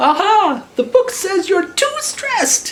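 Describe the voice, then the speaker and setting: This put-on character voice is squeaky and extremely high in pitch. It swings very widely up and down. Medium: read story. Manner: stammering, timid.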